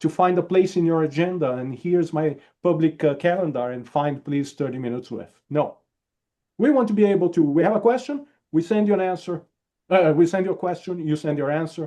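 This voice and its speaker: A man with a high pitch and a dark, mellow tone speaks with a non-native accent. His intonation is lively and his pace fairly quick. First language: not English. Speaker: security conference reviewer. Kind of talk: webinar panel talk.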